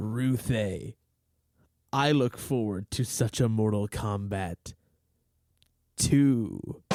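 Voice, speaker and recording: Doing a put-on character voice, a man booms at medium pitch and a very slow pace with long, frequent pauses, in a very clean recording with a silent background. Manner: deliberately booming, smiling while speaking.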